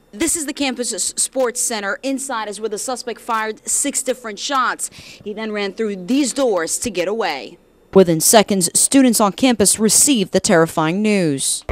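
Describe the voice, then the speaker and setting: With an American accent, this ordinary speaking voice moves at a moderate pace with lively intonation and hardly any pauses. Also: woman, fairly high pitch for a woman, very clean recording, silent background. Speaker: news anchor and reporter. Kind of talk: field reporter live stand-up.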